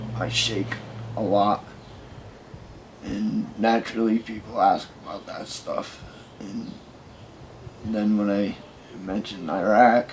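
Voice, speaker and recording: Amid noticeable background noise, a man with a fairly low pitch speaks at a very slow pace in a monotone, flat intonation, with long, frequent pauses and big swings in loudness. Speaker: army veteran. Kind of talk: testimony.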